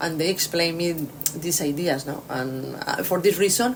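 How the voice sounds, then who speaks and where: Noticeable background noise and audible room echo surround a woman speaking at a very deep, low pitch. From Spain. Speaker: orchestra conductor. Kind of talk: interview. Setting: hotel room. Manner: halting, many fillers.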